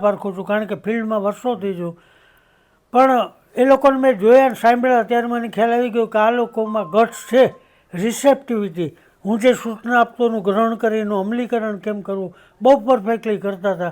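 This man's pitch is high. His intonation stays fairly even. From Gujarat, India (Rajkot). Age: 80s+. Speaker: music teacher. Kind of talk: interview.

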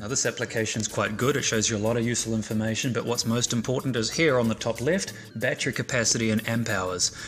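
Over faint music in the background, a man talks at a very fast pace with fairly even intonation. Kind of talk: tutorial. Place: garage.

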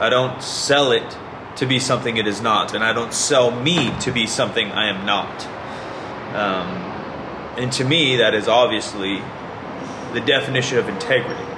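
With noticeable background noise behind him, a man speaks at a moderate pace with ordinary pitch variation and long, frequent pauses. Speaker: fitness YouTuber. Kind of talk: angry rant, passionate monologue calling out fraud in fitness. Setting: online video, solo to camera. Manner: earnest, indignant, impassioned; direct, talks straight to viewers.

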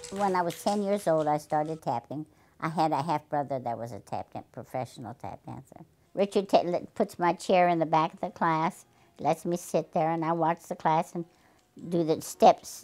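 The voice has a dark, mellow tone. It moves at a moderate pace with ordinary pitch variation. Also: woman. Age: 80s+. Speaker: tap dancer. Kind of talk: interview. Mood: warm, fond reminiscing. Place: home room.

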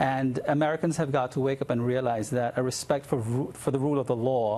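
Fairly even intonation and a fairly quick pace mark a man's speech. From immigrant to the US. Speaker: philosophy professor and author; philosophy professor. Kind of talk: TV news interview. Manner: halting with many fillers. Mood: firm, critical, passionate. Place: studio. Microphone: lapel.

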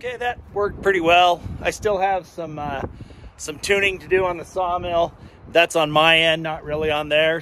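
A man with a high-pitched voice speaks at a moderate pace with fairly even intonation. The sound is dry with no echo, over light background noise. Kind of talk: casual vlog chat. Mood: pleased, relaxed. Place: garden. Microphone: phone near.

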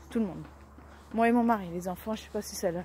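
Against light background noise, a woman's somewhat breathy voice comes through dry with no echo, her pitch varying in an ordinary way. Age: 30s. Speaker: vlogger. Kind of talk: casual daily vlog. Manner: halting, many fillers. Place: street. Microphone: phone near.

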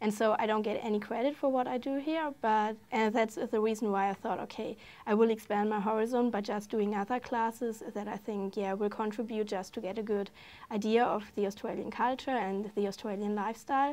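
In a German accent, a woman talks at a fairly quick pace with fairly even intonation. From Germany. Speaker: exchange student. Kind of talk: casual interview. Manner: halting, hesitant with fillers. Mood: warm, enthusiastic. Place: studio. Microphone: lapel.

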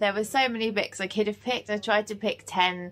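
A woman speaks with fairly even intonation. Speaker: book vlogger. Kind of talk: casual vlog chat. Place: home room. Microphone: phone near.

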